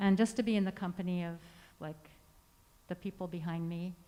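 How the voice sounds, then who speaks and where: Soft-spoken and monotone, the voice has a dark, mellow tone, flat intonation and a moderate pace. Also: woman. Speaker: composer. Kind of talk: artist talk to audience. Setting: stage with audience, speaking through a mask.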